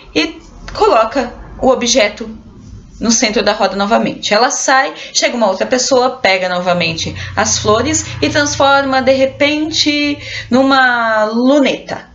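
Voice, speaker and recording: Faint music plays behind a woman speaking at a fairly slow pace in a high pitch. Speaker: theater teacher. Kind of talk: tutorial. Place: home room. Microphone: webcam.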